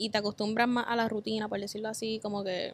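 A woman talks at a fairly quick pace with a fairly high pitch. Her intonation stays flat and monotone. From Puerto Rico, west (Cabo Rojo). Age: 20s. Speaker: travel content creator. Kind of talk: casual chat.

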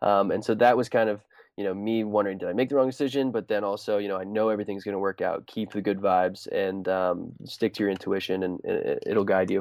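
A man talks at a very fast pace with hardly any pauses, his pitch fairly low and intonation fairly even. The recording is very clean with a silent background. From US Pacific Northwest (Whidbey Island, Washington). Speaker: student entrepreneur, food cart founder. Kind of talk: interview. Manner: casual, many fillers and restarts.

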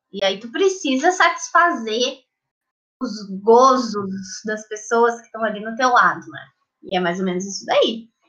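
At a fairly slow pace, a woman speaks at a fairly high pitch, with very wide pitch swings and big swings in loudness. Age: 20s. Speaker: psychology student. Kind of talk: casual chat.

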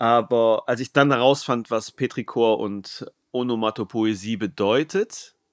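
This very clean recording has a silent background and a dry, close sound with no echo. The man's voice sits at a medium pitch with ordinary pitch variation. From northern Germany. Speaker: podcast host and writer. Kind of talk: casual interview.

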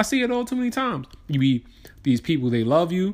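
The delivery is very fast. Its tone is animated. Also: man. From New York. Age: 20s. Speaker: podcast host. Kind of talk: casual solo monologue.

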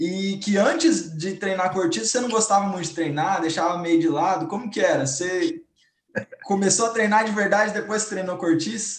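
Audible room echo around lively intonation and a moderate tempo. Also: man, high pitch for a man. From Brazil, Cuiabá. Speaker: football fan panelist. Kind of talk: casual chat.

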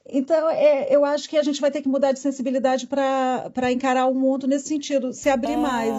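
At a fairly quick pace, the speaker talks with a Brazilian accent. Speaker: philosopher and professor. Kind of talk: casual interview chat.

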